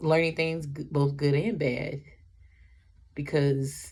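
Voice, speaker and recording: Somewhat breathy woman's voice, very deep and low in pitch, with a dark, mellow tone. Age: 20s. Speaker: vlogger. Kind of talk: personal vlog monologue. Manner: halting.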